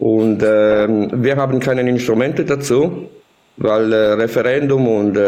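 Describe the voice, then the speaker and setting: A man's medium-pitched voice, dark and mellow in tone, in an Italian accent, with audible room echo. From Italy. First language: Italian (speaking German). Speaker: tech platform developer. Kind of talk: discussion. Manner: halting.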